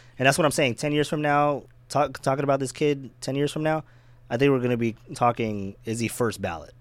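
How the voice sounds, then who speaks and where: A man with a plain, everyday voice talks at a medium pitch and a fairly quick pace, with ordinary pitch variation. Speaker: baseball podcast host. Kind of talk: casual chat.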